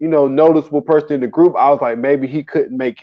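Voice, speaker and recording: A man with an American accent, fairly high-pitched, at a very fast pace. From US South. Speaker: podcast co-host. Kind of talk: casual chat. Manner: animated.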